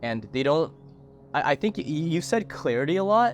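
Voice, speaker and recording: This man has a plain, everyday voice. He talks at a moderate pace with lively intonation. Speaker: podcast host. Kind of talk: podcast interview questions.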